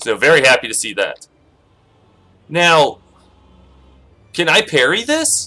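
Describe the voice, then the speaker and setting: Fairly slow speech from a man, broken by long, frequent pauses. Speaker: gaming YouTuber. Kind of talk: let's play commentary. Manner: animated.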